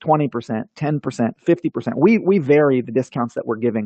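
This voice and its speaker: A man rattles along at a very fast pace in a fairly high pitch. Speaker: online marketing presenter. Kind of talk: webinar presentation.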